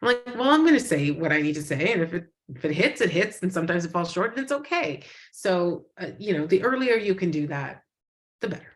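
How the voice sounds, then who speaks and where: A woman speaks loudly and very fast, her fairly low voice swinging very widely in pitch. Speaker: animation studio executive. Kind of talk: panel discussion. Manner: hesitant, many fillers.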